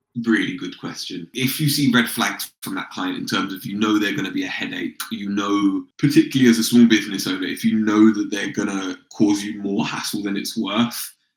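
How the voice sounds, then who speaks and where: Music plays behind a fairly quick speaker with a London accent who barely pauses and whose loudness rises and falls sharply. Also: man. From London, England. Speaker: sales consultant and founder. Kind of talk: podcast interview. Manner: casual, conversational.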